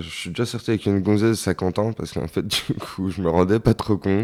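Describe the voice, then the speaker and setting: Dark and mellow in tone, a man's fairly low voice moves at a fairly quick pace. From rural France, small village. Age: 30s. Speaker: interviewee. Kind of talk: casual interview. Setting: at his home.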